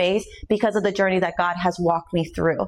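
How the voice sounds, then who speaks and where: Fairly even intonation marks a woman's speech. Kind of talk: testimony. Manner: loud.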